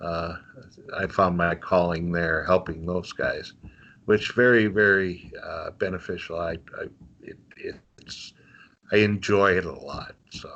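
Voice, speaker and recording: Against a quiet background, a man with a slight North Dakota accent speaks at a fairly slow pace with long, frequent pauses, his very deep, low voice bright and sharp in tone with fairly even intonation. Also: big swings in loudness. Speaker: volunteer, mental health practitioner. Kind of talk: casual interview. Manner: halting, many fillers.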